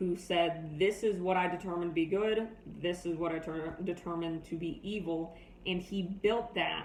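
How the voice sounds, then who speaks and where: At a fairly slow pace, a woman speaks with fairly even intonation and a fairly low pitch. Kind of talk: persuasive speech. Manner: monotone.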